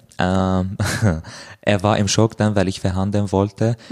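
A man with an Arabic accent speaks in a very deep, low voice with monotone, flat intonation. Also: dry, close sound with no echo. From Syria, Damascus. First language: Arabic (speaking German). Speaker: author. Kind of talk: interview. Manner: halting.

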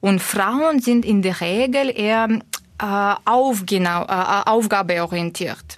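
A woman with a Russian accent at a very slow pace, medium pitch, ordinary pitch variation and very even loudness. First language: Russian (speaking German). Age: 30s. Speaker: corporate manager. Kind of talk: interview. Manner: hesitant, frequent filler sounds.

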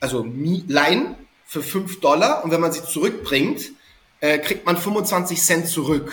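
A man speaks with a high pitch and ordinary pitch variation. His pace is very slow. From Hamburg, northern Germany. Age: 30s. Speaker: SEO consultant. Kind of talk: podcast interview.

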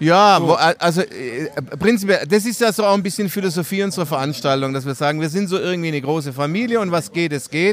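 This man talks at a very fast pace. His pitch is high. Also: ordinary pitch variation. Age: 60s. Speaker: cycling event organizer. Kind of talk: casual interview.

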